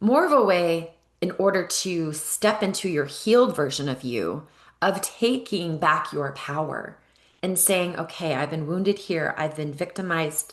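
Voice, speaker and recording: Her voice is fairly low in pitch with ordinary pitch variation. The woman's tone is animated. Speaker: EFT coach and spiritual guide. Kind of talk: guided ceremony talk.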